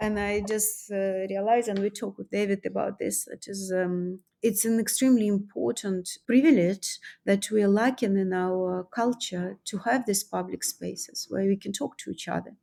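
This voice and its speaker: A woman with a non-native accent and a dark, mellow tone speaks at a moderate pace with fairly even intonation, on a very clean recording with a silent background. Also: medium pitch for a woman. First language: not English. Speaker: artist and author. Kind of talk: interview. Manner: halting.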